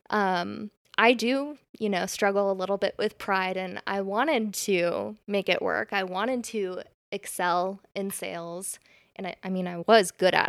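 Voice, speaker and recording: An ordinary speaking voice, a woman with an American accent talks fairly slowly at a medium pitch with ordinary pitch variation, her sound dry and close with no echo on a very clean recording with a silent background. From California. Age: 20s. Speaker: bridal brand founder. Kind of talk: casual interview.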